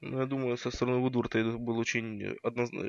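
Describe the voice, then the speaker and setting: Monotone and flat, a man speaks at a fairly quick pace. The sound is dry and close, with no echo. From Kazakhstan, Karaganda. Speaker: fan and expert commentator.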